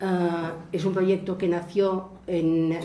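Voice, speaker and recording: In a Spanish accent, a woman speaks at a medium pitch. Audible room echo and noticeable background noise surround her voice. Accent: mainland Spanish. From Spain (mainland). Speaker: landscape planning specialist. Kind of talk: lecture. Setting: museum lecture with audience.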